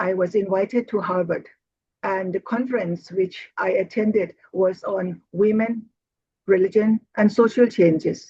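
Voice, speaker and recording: With a Thai accent, a woman speaks at medium pitch in a dark, mellow, somewhat breathy tone. Her intonation is fairly even and her pace fairly slow. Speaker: Buddhist nun and teacher. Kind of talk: interview. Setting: video call.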